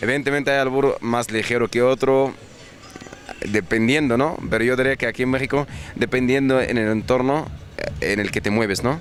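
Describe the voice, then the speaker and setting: Noticeable background noise around a man's moderate-paced speech, his intonation fairly even. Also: medium pitch for a man, very even loudness. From Egypt. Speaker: businessman. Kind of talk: interview.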